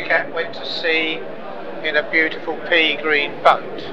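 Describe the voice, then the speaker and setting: Background noise is noticeable. Over it, a man talks. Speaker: model builder and exhibitor. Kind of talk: interview answer. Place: hall. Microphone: lapel.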